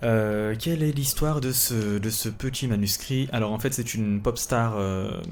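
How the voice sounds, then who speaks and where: Audible room echo surrounds a man at medium pitch. He speaks at a fairly slow pace with hardly any pauses and ordinary pitch variation. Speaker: writer and podcast host. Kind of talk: casual solo podcast. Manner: calm, relaxed; hesitant, many fillers.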